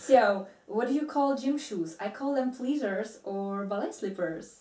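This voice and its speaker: The speaker moves at a fairly slow pace with lively intonation. Noticeable background noise runs underneath. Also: woman, fairly high pitch for a woman. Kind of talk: casual talk to camera.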